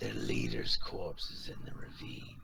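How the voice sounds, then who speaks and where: A man puts on a raspy character voice and speaks at a moderate pace. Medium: actual play.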